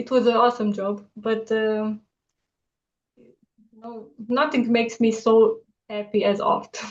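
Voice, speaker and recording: Speaking fairly slowly in a Romanian accent, a woman with a fairly high pitch leaves long, frequent pauses, and her loudness swings widely. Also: fairly even intonation. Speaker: artist. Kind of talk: casual interview. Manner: halting with many fillers.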